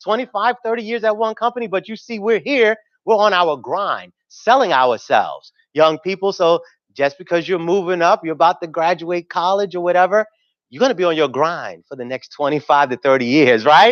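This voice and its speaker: A man with a New York accent, high pitch and lively intonation, in dry, close sound with no echo and a quiet background. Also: fairly quick pace. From New York City, South Bronx and Harlem. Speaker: TV news anchor and emcee. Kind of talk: conference emcee remarks. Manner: casual, animated.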